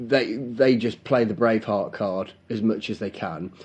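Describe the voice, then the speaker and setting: At a moderate pace, a man speaks at a medium pitch with a dark, mellow tone. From England. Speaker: podcast co-host. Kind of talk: casual banter between two friends. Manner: jokey, bantering.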